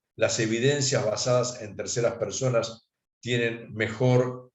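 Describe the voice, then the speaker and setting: A man speaks at a moderate pace in a medium pitch, somewhat breathy. Room echo is audible. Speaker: accountant giving a talk. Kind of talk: lecture.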